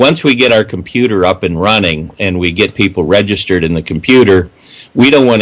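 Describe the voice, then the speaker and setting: A normal speaking voice, this man's pitch runs fairly low with ordinary variation, and his pace is fairly quick. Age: 60s. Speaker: civic activist. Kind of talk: radio interview. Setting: radio show.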